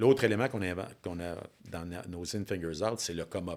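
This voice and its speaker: An animated man talks at a very fast pace with ordinary pitch variation. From Quebec, Bas-Saint-Laurent. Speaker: business coach. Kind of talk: interview.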